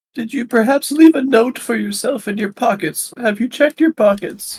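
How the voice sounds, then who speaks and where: This is a put-on character voice with a fairly high pitch. It moves at a moderate pace. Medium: actual play.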